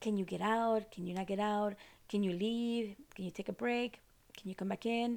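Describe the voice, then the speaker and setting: A Costa Rican accent with monotone, flat intonation at a moderate pace. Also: woman, medium pitch for a woman. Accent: non-native accent, from Costa Rica. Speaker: podcast host, ceremony retreat leader. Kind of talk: solo educational talk. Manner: casual, many fillers.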